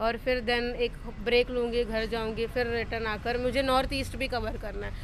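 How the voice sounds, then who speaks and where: A woman with a high pitch speaks at a moderate pace, with audible room echo and noticeable background noise. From Tamil Nadu, India. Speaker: solo traveller. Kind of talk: interview. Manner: halting.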